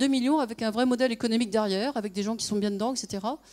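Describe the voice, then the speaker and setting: A woman talks at a very fast pace with a fairly high pitch. The recording is very clean, with a silent background. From France. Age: 50s. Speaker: conference speaker, former consultant and nonprofit founder. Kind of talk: conference talk.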